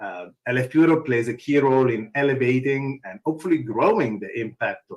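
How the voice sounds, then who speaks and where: A man talks at a fairly quick pace in a strong Italian accent. His medium pitch carries lively intonation. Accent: thick Italian. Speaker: open source foundation executive. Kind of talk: conference talk.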